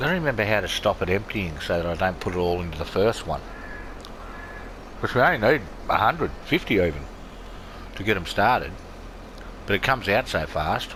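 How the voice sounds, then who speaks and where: A man with an Australian accent speaks at a fairly low pitch with lively intonation and long, frequent pauses. Noticeable background noise runs underneath. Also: fairly quick pace. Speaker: gaming video creator. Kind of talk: casual gameplay commentary.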